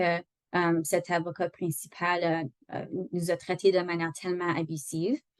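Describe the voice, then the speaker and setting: A fairly low-pitched woman at a fairly slow pace. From Northern Ontario. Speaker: employment lawyer. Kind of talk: online training lecture. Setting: video call. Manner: halting, many fillers.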